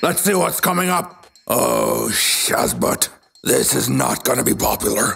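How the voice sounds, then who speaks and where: A man does a put-on character voice. It is raspy and fairly slow. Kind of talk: audio drama fitness workout.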